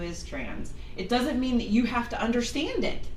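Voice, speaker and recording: Loud and animated, a woman with a high voice talks at a moderate pace, with noticeable background noise and audible room echo. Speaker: minister and medium. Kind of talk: sermon.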